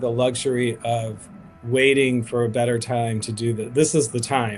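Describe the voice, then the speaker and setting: A man at medium pitch and a fairly slow pace. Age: 50s. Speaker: activist, founder of a grassroots advocacy group. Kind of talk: interview on a livestream. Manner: hesitant, many fillers and restarts.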